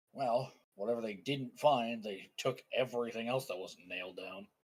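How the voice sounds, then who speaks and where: A man puts on a raspy character voice with a medium pitch and fairly even intonation. He keeps a moderate pace, and his loudness swings widely. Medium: actual play. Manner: dry, laconic.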